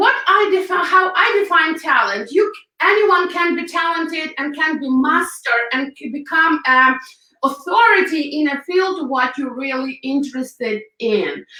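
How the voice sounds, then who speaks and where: In a Ukrainian accent, a woman speaks at an extremely high pitch in a raised, projected voice, with lively intonation at a fairly slow pace. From Ukraine. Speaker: hairstylist and makeup artist. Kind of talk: interview. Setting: live video stream.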